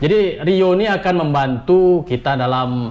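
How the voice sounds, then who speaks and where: Noticeable background noise runs through the clip. The speaker's intonation stays lively. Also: man. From Riau, Indonesia. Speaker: vlogger answering viewer questions. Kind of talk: casual Q&A chat.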